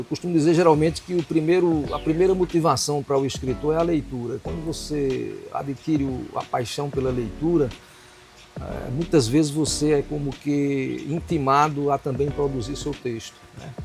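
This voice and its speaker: Over music in the background, a man talks at a moderate pace. His pitch is fairly high, and his intonation is fairly even. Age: 70s. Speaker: writer and retired literature professor. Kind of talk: interview. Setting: used bookstore.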